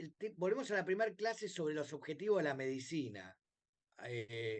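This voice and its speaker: This voice has very wide pitch swings and a Rioplatense accent. The pace is moderate. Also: man. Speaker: bioethics professor. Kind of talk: lecture. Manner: hesitant with many fillers.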